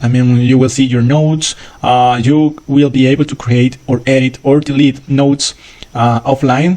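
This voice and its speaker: A man with a non-native accent, a dark, mellow tone, fairly even intonation and a moderate pace. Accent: non-native English speaker. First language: not English. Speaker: software developer. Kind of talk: tutorial. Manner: halting, many fillers.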